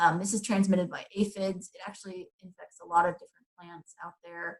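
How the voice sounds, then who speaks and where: A woman speaks at a medium pitch and a fairly quick pace, her intonation monotone and flat. Her voice is somewhat breathy, with big swings in loudness. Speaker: garden educator. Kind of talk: webinar presentation. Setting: online webinar. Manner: fast; hesitant with fillers.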